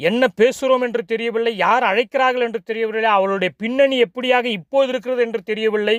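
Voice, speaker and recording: An extremely high male voice with fairly even intonation and a dry, close sound without echo. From South India, Tamil-speaking. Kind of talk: sermon.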